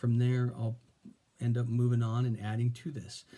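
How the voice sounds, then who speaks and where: The man's somewhat breathy voice sits at a medium pitch with a dark, mellow tone. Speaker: vlogger. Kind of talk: casual monologue. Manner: halting.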